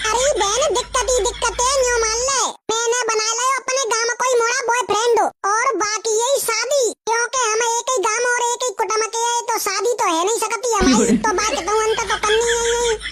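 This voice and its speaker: A woman uses a cartoonish character voice at an extremely high pitch, speaking at a moderate pace with fairly even intonation and very even loudness over light background noise. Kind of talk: comic rustic dialect speech. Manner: loud, argumentative, colloquial.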